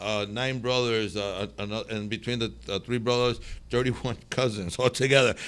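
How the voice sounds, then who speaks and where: A man with a Spanish accent speaks at a medium pitch and a moderate pace, keeping his intonation fairly even. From northern Mexico. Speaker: restaurateur. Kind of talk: interview. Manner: halting, many repetitions.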